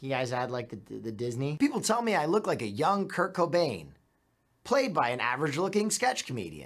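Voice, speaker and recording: A man's fairly high voice with vocal fry and very wide pitch swings, fairly quick pace, quiet background. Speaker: presenter. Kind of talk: TV promo read. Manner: folksy, casual. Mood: joking, self-deprecating. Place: studio.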